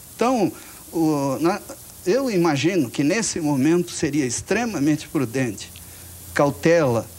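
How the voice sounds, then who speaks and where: A moderate pace with very wide pitch swings. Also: man. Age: 60s. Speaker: audience member. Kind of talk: audience question at debate. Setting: TV studio with audience.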